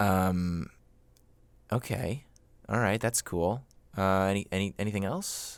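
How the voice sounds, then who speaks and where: A fairly low-pitched male voice at a fairly slow pace, with ordinary pitch variation, very even loudness, and long, frequent pauses. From Florida, US (born in New York). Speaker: comedy podcast host. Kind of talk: comedic skit, mock phone-in interview. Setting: home recording in a closet.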